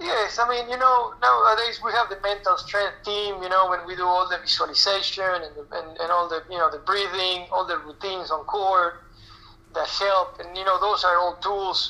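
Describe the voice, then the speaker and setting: A man speaks in a high, raised, projected voice with a Spanish accent at a moderate pace, his pitch varying in an ordinary way. His loudness swings widely. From Argentina. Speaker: national team tennis coach. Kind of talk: interview. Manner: halting, many fillers.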